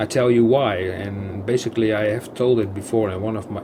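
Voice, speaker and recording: The speaker goes at a fairly slow pace while noticeable background noise is present. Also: man. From Netherlands. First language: Dutch. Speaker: gaming YouTuber. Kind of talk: gameplay commentary. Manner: halting, many fillers and repetitions; casual, chatty.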